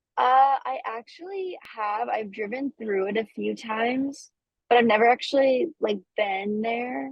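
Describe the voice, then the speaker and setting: This woman's voice sits fairly high. It swings very widely in pitch. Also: fairly slow pace. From Pennsylvania. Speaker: singer-songwriter. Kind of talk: interview answer. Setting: phone or video call from the road. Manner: casual, chatty.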